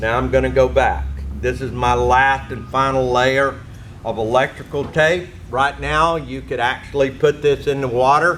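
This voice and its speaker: Noticeable background noise surrounds a man speaking at a fairly slow pace. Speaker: technical manager. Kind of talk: tutorial.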